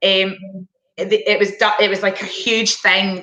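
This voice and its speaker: A woman talks in a Scottish accent. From Scotland. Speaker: former international hockey player. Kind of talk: Q&A interview.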